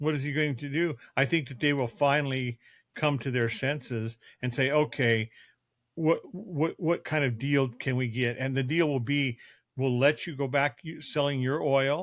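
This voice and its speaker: Here is a man with a plain, everyday voice, pitched fairly high. He talks at a moderate pace with fairly even intonation. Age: 60s. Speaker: father co-host of a family podcast. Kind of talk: casual family discussion podcast.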